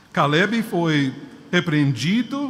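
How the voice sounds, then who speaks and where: Very slowly, a man speaks with very wide pitch swings. Audible room echo and noticeable background noise surround him. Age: 60s. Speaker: preacher. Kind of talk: sermon. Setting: church.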